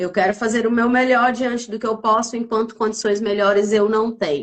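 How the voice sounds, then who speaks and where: With a northeastern Brazilian accent, a woman talks at a fairly quick pace. Her pitch is fairly high and her intonation fairly even. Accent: noticeable northeastern Brazilian. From Northeast Brazil, Piauí. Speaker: lawyer and mentor hosting a live stream. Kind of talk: live-stream interview introduction. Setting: live stream from Buenos Aires. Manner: hesitant, many fillers.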